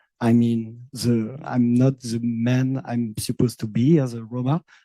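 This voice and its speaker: A man speaks with a French accent and fairly even intonation. His tone is dark and mellow, recorded with a dry, close sound and no echo. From France, Manouche Sinti community. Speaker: visual and performance artist. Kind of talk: roundtable discussion. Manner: halting.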